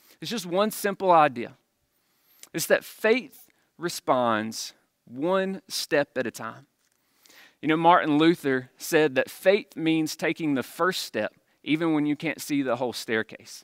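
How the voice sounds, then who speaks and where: Recorded very cleanly against a silent background, with a dry, close sound and no echo, a man with a Mississippi accent speaks at a fairly slow pace and fairly high pitch, his intonation lively. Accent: Southern US (Mississippi). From Jones County, Mississippi. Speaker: campus pastor. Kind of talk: sermon.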